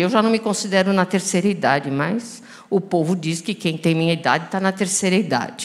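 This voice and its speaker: Ordinary pitch variation at a moderate pace. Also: woman. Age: 60s. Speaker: physician, rare disease specialist. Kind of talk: panel discussion. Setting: stage with audience. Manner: animated.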